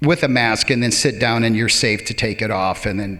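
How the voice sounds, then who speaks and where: Noticeable background noise is heard throughout. A man does the talking. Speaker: public speaker. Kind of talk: live stage talk. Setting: theater stage.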